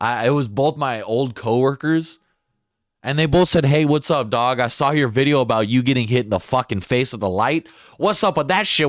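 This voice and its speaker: Lively intonation carries a man's medium-pitched voice at a moderate pace. The recording is very clean, with a silent background. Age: 20s. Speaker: stand-up comedian and podcast host. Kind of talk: casual monologue. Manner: casual, profane, rambling delivery.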